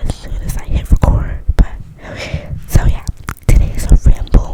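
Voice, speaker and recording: A woman whispering at a fairly slow pace, over noticeable background noise. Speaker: ASMR content creator. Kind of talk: casual rambling talk to camera, whispered ASMR style. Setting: recorded in bed at night at home. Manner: whispered, casual, chatty.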